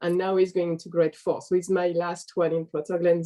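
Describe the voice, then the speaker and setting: This woman speaks with a French accent. Her pitch sits fairly low. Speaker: parent. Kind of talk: interview.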